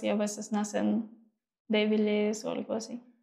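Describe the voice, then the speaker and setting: A woman with a fairly high pitch, a dark, mellow tone and monotone, flat intonation. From eastern Ukraine, Mariupol. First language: Ukrainian or Russian (speaking Spanish). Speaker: model and activist. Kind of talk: interview. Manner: halting.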